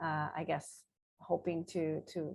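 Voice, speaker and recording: A woman speaks in a very deep, low pitch with a strong Israeli accent. Her intonation stays fairly even. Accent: Israeli accent, thicker now. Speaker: author. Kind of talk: panel discussion. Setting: video call.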